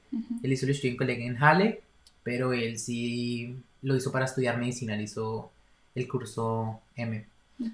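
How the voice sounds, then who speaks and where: Somewhat breathy, a man of medium pitch speaks at a moderate pace with fairly even intonation. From Colombia, Bogotá. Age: 20s. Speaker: university student. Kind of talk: casual interview.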